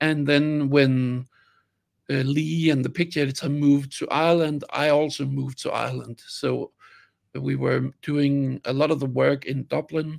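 Speaking at a moderate pace with a Danish accent, a man holds a monotone, flat intonation against a quiet background. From Denmark. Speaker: film sound designer. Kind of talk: interview. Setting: video call. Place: home room. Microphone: video call.

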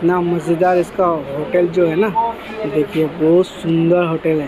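Over clear background noise, a man talks at a fairly slow pace and fairly high pitch, with little pitch movement.

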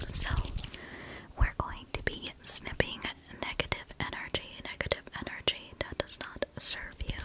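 A woman whispers, her delivery fairly slow and broken by long, frequent pauses. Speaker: ASMR creator. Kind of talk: ASMR whispered comfort talk with snipping sounds. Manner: soft, soothing, repetitive. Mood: gentle, comforting. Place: home room. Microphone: studio mic.

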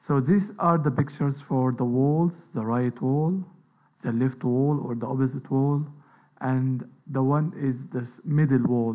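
A man's medium-pitched voice, a plain, everyday voice, with ordinary pitch variation at a moderate pace. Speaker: lecturer. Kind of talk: lecture.

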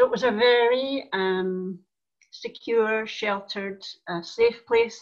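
A woman speaks with a Scottish accent. Her pitch varies in an ordinary way over a quiet background. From Scotland, Tarbert, Argyll. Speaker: church elder. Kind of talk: interview conversation. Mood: warm, reflective. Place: home room. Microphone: video call.

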